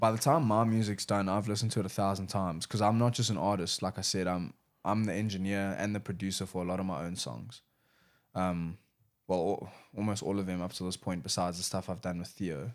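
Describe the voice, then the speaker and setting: A man talks at a very fast pace in a very deep, low voice with ordinary pitch variation. The recording is very clean, with a silent background. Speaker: rapper and music producer. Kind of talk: casual chat.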